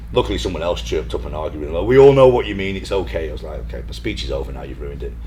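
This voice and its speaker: Noticeable background noise sits behind a man with a British accent who talks at a very fast pace, his loudness swinging widely. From northern England, Blackpool. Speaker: fitness professional. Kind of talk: casual chat.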